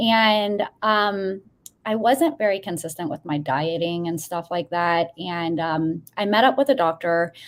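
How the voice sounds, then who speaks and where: A woman talks in an ordinary speaking voice at a fairly low pitch. Her pace is fairly slow and her intonation lively. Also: very clean recording, silent background. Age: 40s. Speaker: guest, currency news channel host. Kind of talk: casual interview.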